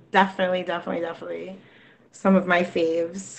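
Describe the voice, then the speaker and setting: This woman talks at a medium pitch. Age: 30s. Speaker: rapper and singer. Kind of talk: interview. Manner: fast.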